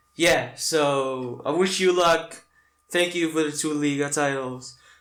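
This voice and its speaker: Fairly high in pitch, a man talks at a fairly slow pace with fairly even intonation. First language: not English. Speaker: football fan reactor. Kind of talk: reaction video. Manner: halting.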